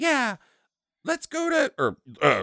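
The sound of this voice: A man performs a put-on character voice at an extremely high pitch. The recording is very clean, with a silent background.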